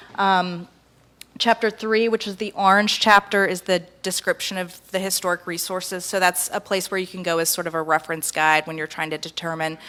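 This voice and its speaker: Her tone is bright and sharp as a woman speaks at a fairly quick pace. She keeps a medium pitch and fairly even intonation. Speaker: historic preservation consultant. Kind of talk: public presentation. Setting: public meeting with audience. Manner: soft-spoken; hesitant, many filler ums.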